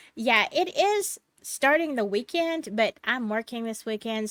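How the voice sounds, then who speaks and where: A woman with a Southern US accent, fairly high pitch and lively intonation at a fairly slow pace, in a very clean recording with a silent background and a dry, close sound with no echo. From US South, Alabama. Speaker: storytelling channel host. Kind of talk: reading aloud; casual chat.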